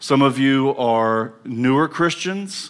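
The speaker has an American accent, and room echo can be heard. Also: man. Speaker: divinity professor and theologian. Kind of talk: lecture. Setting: brewery event with live audience. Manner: sitting while speaking.

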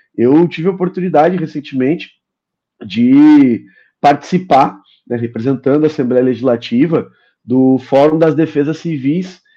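A man with a fairly high pitch and a dark, mellow tone speaks over a quiet background. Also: ordinary pitch variation, moderate pace. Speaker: state legislator. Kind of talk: political interview. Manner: hesitant, frequent filler sounds.

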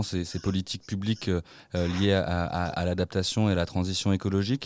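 This is a man with a fairly low pitch talking at a moderate pace. The recording is very clean, with a silent background. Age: 20s. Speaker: radio host. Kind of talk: radio talk show. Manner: halting, repeats words.

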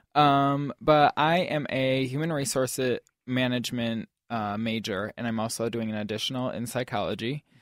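Dry and close with no echo, an unremarkable speaking voice comes from a man talking at medium pitch and a moderate pace with ordinary pitch variation. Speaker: student activities board director. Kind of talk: interview answers. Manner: casual, filler-heavy with many ums.

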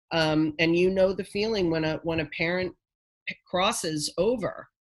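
A woman talks in a normal speaking voice, fairly low in pitch with ordinary pitch variation. Her pace is moderate and the background is quiet. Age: 50s. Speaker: nonprofit founder. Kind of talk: interview conversation.

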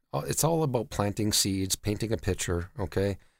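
Over a silent background in a very clean recording, a man with a Canadian accent speaks at a moderate pace in an ordinary speaking voice with a fairly low pitch. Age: 40s. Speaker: debt collection company CEO. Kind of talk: interview.

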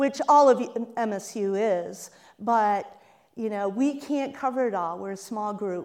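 A woman with an American accent, fairly high pitch and ordinary pitch variation, at a moderate pace over a quiet background. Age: 60s. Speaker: newspaper managing editor. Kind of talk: talk to student audience. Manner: animated.

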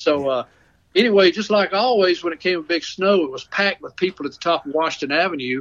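Talking at a fairly quick pace, a man speaks in a Southern US accent. His pitch variation is ordinary. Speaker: storyteller. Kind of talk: storytelling. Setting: phone call.

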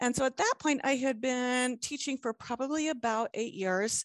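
Against a quiet background, a woman with a high pitch and lively intonation is heard in a dry, close sound with no echo. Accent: American. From US South, southeastern Virginia (Hampton Roads). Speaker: special education teacher. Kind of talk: interview conversation. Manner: halting with fillers.

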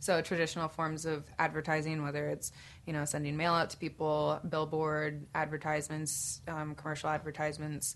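A woman with an American accent, very deep and low in pitch, at a fairly quick pace with monotone, flat intonation. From Tucson, Arizona. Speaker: photographer and actor. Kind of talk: casual podcast chat.

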